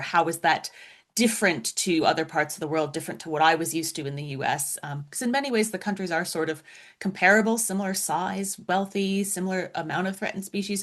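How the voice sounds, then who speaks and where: With an American accent, a woman talks at a fairly quick pace in a plain, everyday voice. Her pitch is fairly low, her intonation lively, and the background quiet. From US, Florida. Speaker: science writer and author. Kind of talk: interview.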